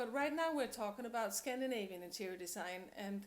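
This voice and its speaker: A woman with a Danish accent speaks with very wide pitch swings. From Denmark. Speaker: interior designer and house coach. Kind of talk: tutorial. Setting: at home.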